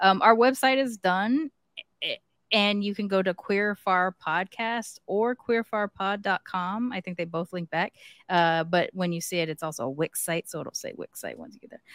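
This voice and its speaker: Recorded very cleanly against a silent background with a dry, close sound and no echo, a woman with an ordinary speaking voice talks at a medium pitch and moderate pace, with ordinary pitch variation and big swings in loudness. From US, mixed Japanese heritage. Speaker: podcast co-host. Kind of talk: casual chat; show announcements.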